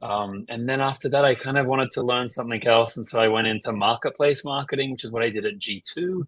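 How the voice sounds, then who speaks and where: A man with an Australian accent speaks at a medium pitch. His tone is bright and sharp, and his pace is fairly quick. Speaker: marketing executive. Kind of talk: interview. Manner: casual, filler-heavy.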